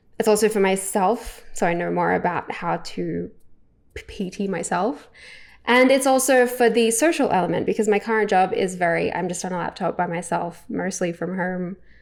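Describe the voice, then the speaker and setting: An Australian accent with vocal fry and ordinary pitch variation, on a very clean recording with a silent background. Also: woman, medium pitch for a woman, moderate pace. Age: 30s. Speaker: vlogger. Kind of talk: casual monologue to camera. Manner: hesitant, many fillers.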